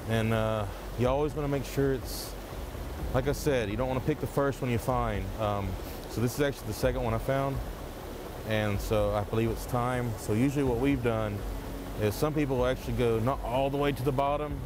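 A man's voice at a fairly quick pace with fairly even intonation, dry sound with no echo, and noticeable background noise. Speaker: forager guide. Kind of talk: tutorial. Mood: calm, warm. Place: waterside. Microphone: lapel.

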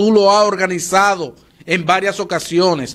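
With a Dominican Cibao accent, a man talks at a fairly slow pace and a high pitch. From Dominican Republic. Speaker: TV morning show commentator; TV show host. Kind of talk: opinion commentary. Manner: animated. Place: studio. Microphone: studio mic.

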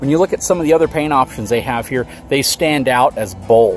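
A man is heard in a dry recording with no echo, with faint music in the background. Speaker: RV reviewer. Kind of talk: casual vlog commentary. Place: open country.

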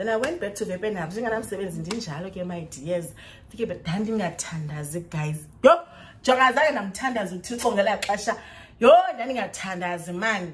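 A woman with a South African accent, medium pitch, fairly quick pace, animated tone, lively intonation and big swings in loudness. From South Africa, Xhosa-speaking. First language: isiXhosa. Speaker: vlogger, English teacher in China. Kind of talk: storytime vlog. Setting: recorded to camera at home. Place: home room. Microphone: phone near.

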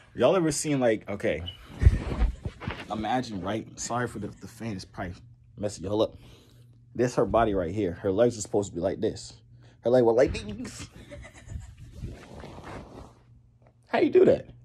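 A man with a fairly low, somewhat breathy voice speaks at a moderate pace with ordinary pitch variation and long, frequent pauses over light background noise. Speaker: vlogger. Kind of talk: casual vlog chat. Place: home room. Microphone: phone near.

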